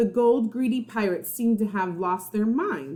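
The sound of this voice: An unforced reading voice carries ordinary pitch variation here.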